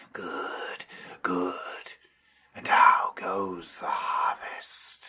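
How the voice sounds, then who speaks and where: Using a put-on character voice, a man whispers, growls, and hisses at a very slow pace. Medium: read story.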